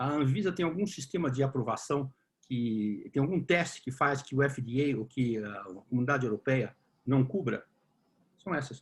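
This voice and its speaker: Here a man speaks at a moderate pace in a medium-pitched, somewhat breathy voice. His pitch varies in an ordinary way. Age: 60s. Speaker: discussion group moderator. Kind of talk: online panel Q&A.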